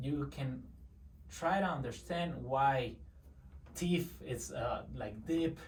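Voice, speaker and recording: A man speaks at a very slow pace, with long, frequent pauses and noticeable background noise. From Mexico. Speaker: service delivery manager. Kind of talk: interview answer.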